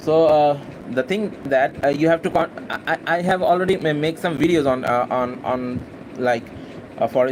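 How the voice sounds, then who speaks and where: Fairly high male voice in a Bangladeshi accent, moderate in pace with ordinary pitch variation, over noticeable background noise. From Bangladesh, Khulna. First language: Bengali. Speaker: university student and English-practice vlogger. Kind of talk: casual spontaneous monologue, live session. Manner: halting, many fillers and repetitions.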